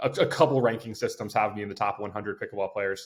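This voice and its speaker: On a very clean recording with a silent background, a man of medium pitch speaks at a fairly quick pace. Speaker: basketball coach turned pro pickleball player. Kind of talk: podcast interview. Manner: fast.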